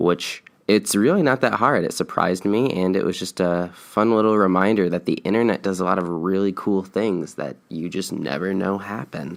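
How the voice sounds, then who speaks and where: A man talks at a moderate pace with hardly any pauses, his pitch very deep and low with ordinary variation. The recording is very clean and the background silent. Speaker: podcast host. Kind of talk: solo podcast monologue. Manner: many filler words.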